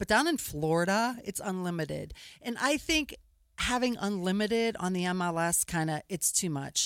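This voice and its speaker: A woman with an ordinary speaking voice talks at a moderate pace and medium pitch, in an American accent. Her intonation is lively, and the recording is very clean with a silent background. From Pittsburgh, Pennsylvania. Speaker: real estate photography business owner. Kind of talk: radio interview. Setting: studio.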